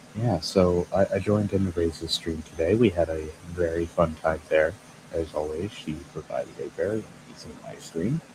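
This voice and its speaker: A quiet man's very deep, low voice, with fairly even intonation and big swings in loudness. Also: moderate pace. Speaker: streamer. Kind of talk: casual chat. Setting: at home, people sleeping nearby.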